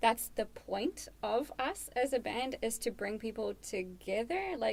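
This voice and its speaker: A woman speaks with a fairly high pitch. Background noise is noticeable. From South Africa. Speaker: metal band member. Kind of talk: casual chat.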